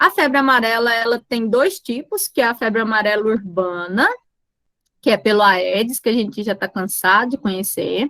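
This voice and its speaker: This woman's voice is fairly high and has a bright, sharp tone, delivered at a moderate pace in a dry, close sound with no echo. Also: ordinary pitch variation. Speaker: teacher. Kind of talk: lecture.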